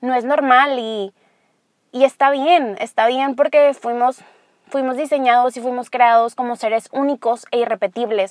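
The delivery moves at a moderate pace with fairly even intonation. The sound is dry and close, with no echo. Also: woman. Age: 20s. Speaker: podcast host. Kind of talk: solo monologue.

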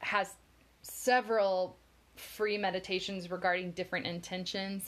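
A woman with an American accent and an unremarkable speaking voice, moderate pace and fairly even intonation, over a quiet background. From Florida. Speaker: podcast co-host. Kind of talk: casual chat.

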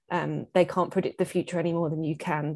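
A woman speaks very fast with an English accent, at a fairly low pitch. Her tone is dark and mellow, her intonation fairly even, and the background is quiet. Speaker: mother sharing pregnancy loss story. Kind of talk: casual chat.

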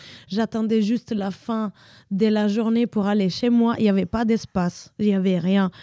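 In a very clean recording with a silent background and a dry, close sound free of echo, a woman with an Italian accent speaks at a moderate pace in a fairly high pitch, her tone dark and mellow and her intonation flat and monotone. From Italy. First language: Italian (speaking French). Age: 30s. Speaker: dancer. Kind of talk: casual interview.

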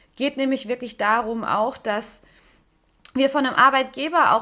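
A woman's raised, projected voice, high-pitched and bright and sharp in tone, with ordinary pitch variation at a moderate pace. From Stuttgart, Swabia (southwest Germany). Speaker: podcast host and life coach. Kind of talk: solo podcast monologue.

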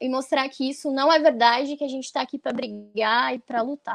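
Recorded dry and close with no echo, a woman with a high voice speaks fairly quickly with fairly even intonation. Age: 20s. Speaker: activist. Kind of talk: casual panel discussion.

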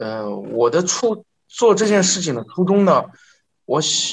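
The pace is fairly slow. The pitch swings very widely. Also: man. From northern China. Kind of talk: interview testimony. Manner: halting, many filler sounds; formal.

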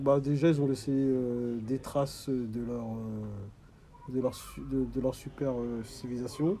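Very slow speech from a man at medium pitch with fairly even intonation, noticeable background noise behind him. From sub-Saharan Africa. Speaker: audiovisual company manager and caregiver. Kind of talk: interview. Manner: halting, many hesitations.

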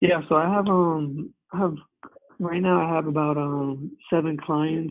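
A man speaks at a moderate pace in a fairly high pitch. His intonation stays monotone and flat. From New Jersey. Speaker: wellness coach. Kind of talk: casual interview. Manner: halting, many fillers.

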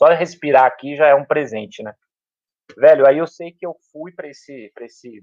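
An unremarkable speaking voice, this man talks at a fairly high pitch and a moderate pace with ordinary pitch variation. Loudness swings widely, and the sound is dry and close with no echo. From São Paulo, south zone periphery. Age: 40s. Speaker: public school teacher. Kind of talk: casual interview chat. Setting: at home.

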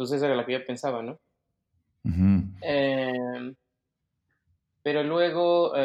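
Pausing long and often, a man speaks at a very slow pace with a medium pitch and lively intonation. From Mexico City. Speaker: 3D designer. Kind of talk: casual interview.

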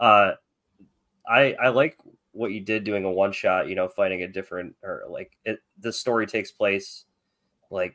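The pace here is moderate. It is delivered in an unremarkable speaking voice. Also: man. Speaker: podcast co-host. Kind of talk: casual chat.

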